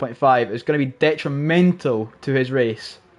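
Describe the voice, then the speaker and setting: This man's voice sits fairly high in pitch, with ordinary variation in its rise and fall. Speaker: sim racing commentator. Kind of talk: live commentary. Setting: live stream at home. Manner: loud; animated.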